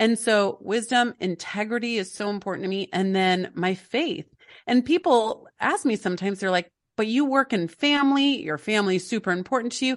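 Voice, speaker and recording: Fairly quick, lively speech from a woman with a fairly high pitch and a plain, everyday voice. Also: quiet background. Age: 40s. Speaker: family life coach and author. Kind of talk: interview.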